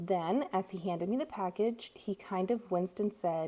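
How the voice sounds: The pitch moves in an ordinary way. It belongs to a natural reading voice.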